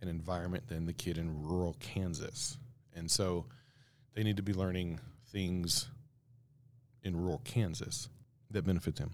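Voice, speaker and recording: Long, frequent pauses break up a man's very deep, low voice, which moves at a moderate pace with ordinary pitch variation. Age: 50s. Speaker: podcast host. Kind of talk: casual commentary. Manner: casual, hesitant with fillers.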